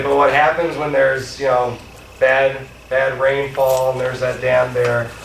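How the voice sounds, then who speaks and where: Noticeable background noise and audible room echo surround a man who speaks at a moderate pace with fairly even intonation. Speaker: legal speaker on constitutional law. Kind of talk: lecture. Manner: loud.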